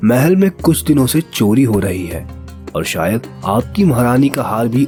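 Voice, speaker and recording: Medium-pitched man's voice with very wide pitch swings, music in the background. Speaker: voice artist. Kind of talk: children's story narration.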